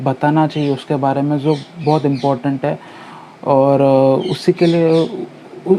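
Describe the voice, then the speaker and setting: This man has a fairly high pitch and fairly even intonation. Noticeable background noise is present. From India, Mumbai. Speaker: news commentary YouTuber. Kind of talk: casual talk to camera. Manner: hesitant, many fillers.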